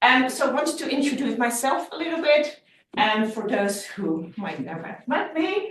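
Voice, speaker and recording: With a Dutch accent, a woman speaks at a moderate pace in a high voice, her pitch swinging very widely. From Netherlands, Amsterdam. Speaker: lecturer. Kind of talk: lecture. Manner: halting.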